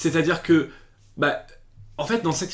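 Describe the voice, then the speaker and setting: A man speaks in an animated tone. His pitch rises and falls in an ordinary way. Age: 20s. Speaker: YouTube series reviewer. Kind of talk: casual video review. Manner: hesitant, many fillers and repetitions.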